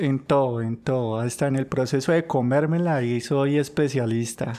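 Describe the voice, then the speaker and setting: A man's medium-pitched voice at a fairly slow pace. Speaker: podcast co-host. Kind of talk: casual chat.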